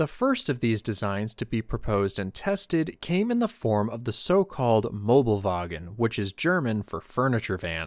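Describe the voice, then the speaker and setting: An ordinary speaking voice with lively intonation and hardly any pauses moves at a moderate pace in a very clean recording with a silent background. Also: man, medium pitch for a man. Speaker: military history YouTuber. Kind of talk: history documentary narration. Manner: measured, even, formal narrator's delivery; steady, explanatory, informative pace.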